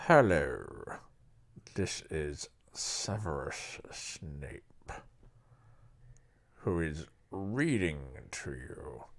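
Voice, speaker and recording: A man puts on a character voice with a very deep, low pitch. He talks at a very slow pace, leaving long, frequent pauses. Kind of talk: formal. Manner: slow and sneering.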